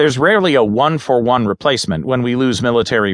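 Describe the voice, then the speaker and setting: A man at medium pitch, very fast and with lively intonation, against a quiet background. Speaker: audiobook narrator. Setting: studio. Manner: steady, even and measured, businesslike newsreader delivery with little emotion; clear, formal and precise.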